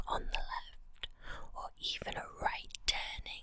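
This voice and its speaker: Someone whispers at a very slow pace. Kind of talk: guided visualization ghost story. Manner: soft-spoken.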